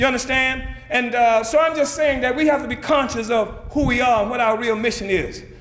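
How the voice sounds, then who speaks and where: Amid noticeable background noise and audible room echo, a man talks at a fairly quick pace in an extremely high pitch with an animated tone. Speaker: political leader. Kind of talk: speech. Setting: conference stage with audience. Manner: fast.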